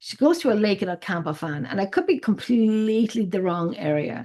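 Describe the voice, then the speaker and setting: A woman with an Irish accent speaks at a moderate pace in a medium pitch. Her intonation is lively, and the background is quiet. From Ireland, Drogheda (County Louth). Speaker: paranormal investigator. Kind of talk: casual chat. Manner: halting.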